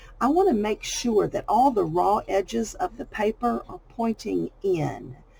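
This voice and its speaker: Noticeable background noise runs behind a woman with a Southern US accent. She talks at a fairly slow pace. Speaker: crafting YouTuber. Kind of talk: tutorial. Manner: casual, chatty.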